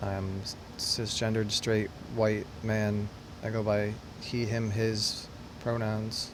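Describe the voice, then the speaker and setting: Amid noticeable background noise and audible room echo, a man with a fairly low pitch speaks very slowly in monotone, flat intonation, leaving long, frequent pauses. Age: 30s. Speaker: construction worker making a dating video. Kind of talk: casual self-introduction monologue.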